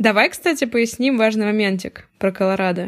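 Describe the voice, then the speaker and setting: A woman talks in an ordinary speaking voice. Her pitch varies in an ordinary way. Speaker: podcast host. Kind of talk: casual chat.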